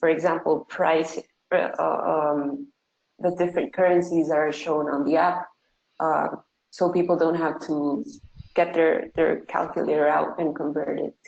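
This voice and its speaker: In a Spanish accent, this voice moves at a fairly slow pace with vocal fry and a monotone, flat intonation. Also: woman, fairly low pitch for a woman. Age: 20s. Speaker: tech startup founder. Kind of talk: online webinar Q&A. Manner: hesitant, many fillers.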